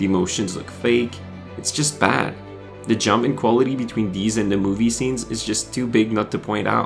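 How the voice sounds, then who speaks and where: Over music in the background, a man talks at a fairly quick pace and a fairly low pitch, with ordinary pitch variation. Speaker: video game reviewer. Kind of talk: video essay narration.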